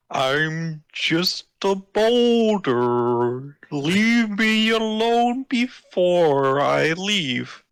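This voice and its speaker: A man's put-on character voice, high-pitched with very wide pitch swings, very slow and very even in loudness, on a very clean recording with a silent background. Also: hardly any pauses. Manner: gruff, dismissive.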